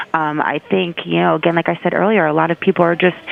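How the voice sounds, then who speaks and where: A woman talks fairly quickly at a fairly low pitch, with noticeable background noise present. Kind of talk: entertainment news commentary.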